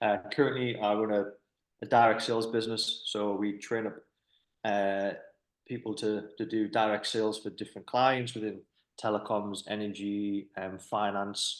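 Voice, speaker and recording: Against a quiet background, a man with a fairly low pitch speaks at a moderate pace in a flat monotone. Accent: Durham. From northern England, County Durham. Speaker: business owner, podcast host. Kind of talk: casual interview chat. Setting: office. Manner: hesitant, fillers and repetitions.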